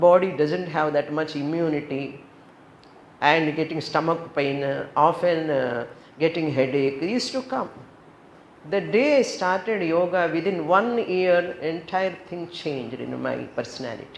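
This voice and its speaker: With an Indian accent, the speaker talks at a fairly slow pace with ordinary pitch variation over noticeable background noise. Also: woman, fairly low pitch for a woman. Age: 70s. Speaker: yoga teacher and spiritual teacher. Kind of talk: spiritual talk.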